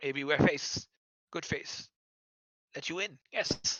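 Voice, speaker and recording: Someone performs a put-on character voice at a middle pitch. The pace is fairly slow. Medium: actual play. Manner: broken, repetitive speech with constant yeses.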